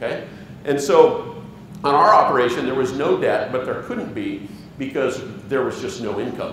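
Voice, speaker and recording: A man speaks at a moderate pace. Audible room echo and light background noise are present. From Wyoming. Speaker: organic farmer; conference presenter. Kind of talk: conference presentation. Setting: stage with audience. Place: hall.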